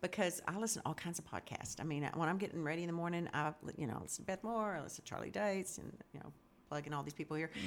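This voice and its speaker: A woman talks at a very fast pace in a fairly low pitch, with ordinary pitch variation. Vocal fry runs through her voice. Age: 60s. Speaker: interviewer and Sunday class teacher. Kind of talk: casual interview. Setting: studio.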